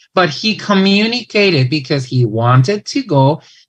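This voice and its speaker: A man talks with a Mexican accent at a fairly slow pace. His pitch swings very widely. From Mexico. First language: Spanish. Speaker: English teacher and presenter. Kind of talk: conference talk. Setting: online event.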